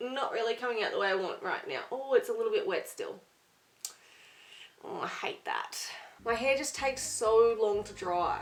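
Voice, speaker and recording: A woman speaks at a moderate pace with long, frequent pauses and big swings in loudness. Noticeable background noise runs under her voice. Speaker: beauty vlogger. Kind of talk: product review vlog. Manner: casual, chatty.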